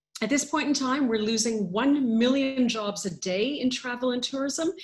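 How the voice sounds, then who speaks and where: This woman sounds somewhat breathy, with ordinary pitch variation. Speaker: international tourism official. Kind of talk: webinar presentation.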